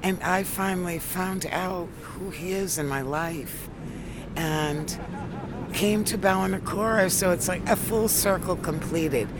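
A woman with a New England accent speaks at a fairly slow pace with ordinary pitch variation. Noticeable background noise and audible room echo come through. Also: medium pitch for a woman. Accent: New England American. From US, Worcester, Massachusetts. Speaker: tour organiser and explorer's relative. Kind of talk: outdoor interview.

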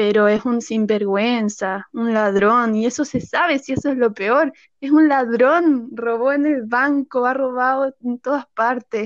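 A woman with a Chilean accent talks at a fairly slow pace in a high pitch with ordinary pitch variation and hardly any pauses, the sound dry and close with no echo over a quiet background. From rural central Chile. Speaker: actress. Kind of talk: casual interview.

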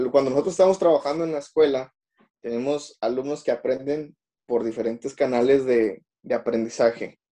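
The man's voice has a dark, mellow tone and a fairly high pitch with ordinary variation. He speaks at a moderate pace. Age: 20s. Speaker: schoolteacher, podcast co-host. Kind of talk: casual chat.

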